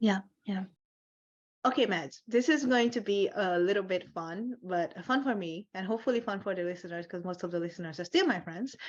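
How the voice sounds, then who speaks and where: A woman's animated, medium-pitched voice at a fairly quick pace with ordinary pitch variation. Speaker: podcast host. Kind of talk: interview.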